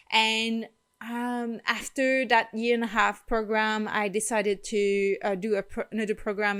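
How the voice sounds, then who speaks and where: Speaking in a Quebec accent, a woman uses a fairly high pitch and monotone, flat intonation on a very clean recording with a silent background. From Quebec, rural farm. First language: French. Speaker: holistic wellness vlogger. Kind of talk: personal vlog storytelling. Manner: frequent hesitations with um.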